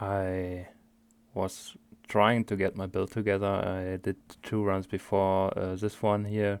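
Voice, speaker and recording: In a very clean recording with a silent background, a man with a strong German accent speaks very slowly at a fairly low pitch in a monotone, flat intonation. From Germany. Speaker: video game streamer. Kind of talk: gameplay commentary. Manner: halting, many fillers.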